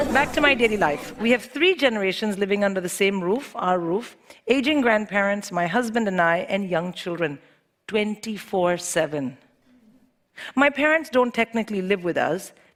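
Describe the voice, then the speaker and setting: The speaker has an American accent. Delivery is at a moderate pace with lively intonation. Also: woman, medium pitch for a woman. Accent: sometimes quite American. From India. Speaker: comedian. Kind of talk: stand-up.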